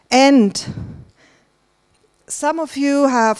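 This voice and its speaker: A woman with a German accent is heard in a dry, close sound with no echo, in a very clean recording with a silent background. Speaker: conference organiser. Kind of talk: conference welcome remarks. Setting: stage with audience. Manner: hesitant, many fillers.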